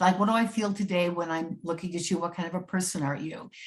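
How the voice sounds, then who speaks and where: A woman's somewhat breathy, medium-pitched voice at a very fast pace, with fairly even intonation. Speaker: astrologer and psychic. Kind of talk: interview conversation.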